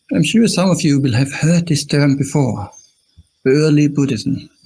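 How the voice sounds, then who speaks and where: Somewhat breathy and dark, mellow in tone, a man with an Austrian accent talks at a fairly high pitch. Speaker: Buddhist monk. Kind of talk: dharma talk. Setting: live stream.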